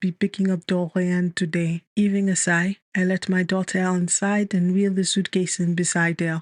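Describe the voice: Over a quiet background, the passage is simply read aloud.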